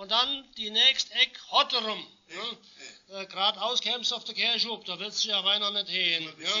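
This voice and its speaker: Against noticeable background noise, a man talks in a high pitch with a Moselle Franconian accent. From Hunsrück, Rhineland-Palatinate. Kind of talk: dialect demonstration, giving directions.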